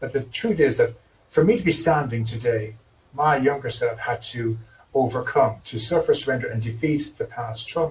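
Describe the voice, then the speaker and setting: With an Irish accent, a man talks at a moderate pace and medium pitch. His voice is somewhat breathy, with ordinary pitch variation. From Ireland. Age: 60s. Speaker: trauma therapist. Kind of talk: interview.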